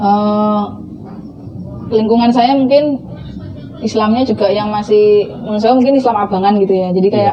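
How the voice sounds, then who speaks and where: In a Javanese accent, a woman speaks at a moderate pace and fairly high pitch, with fairly even intonation and very even loudness. Her long, frequent pauses sit over music in the background. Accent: Javanese-accented Indonesian. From Central Java (Blora), Indonesia. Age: 30s. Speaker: convert telling her story. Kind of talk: testimony interview. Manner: casual, with fillers.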